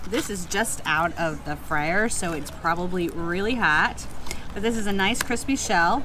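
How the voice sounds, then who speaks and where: Noticeable background noise sits behind a woman speaking at a fairly slow pace. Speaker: food vlogger. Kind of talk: casual vlog chat. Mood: relaxed, playful. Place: cafe. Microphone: phone near.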